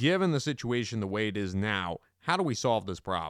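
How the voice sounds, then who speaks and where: A man with an unremarkable speaking voice at medium pitch and a moderate pace, in a dry, close sound with no echo and a very clean recording with a silent background. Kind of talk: interview.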